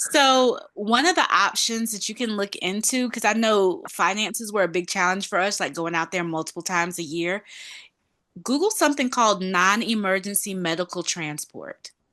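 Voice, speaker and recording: Lively intonation runs through a woman's medium-pitched voice as she speaks at a moderate pace with a Southern US accent. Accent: Southern US accent, noticeable. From North Carolina. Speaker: panelist, patient family member. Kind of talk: online group discussion.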